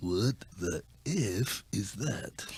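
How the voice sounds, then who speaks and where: A man puts on a character voice pitched fairly low. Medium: comedy sketch.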